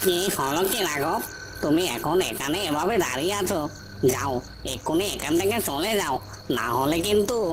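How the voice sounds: A cartoonish character voice talks at a moderate pace in a middle pitch. Loud background noise fills the clip.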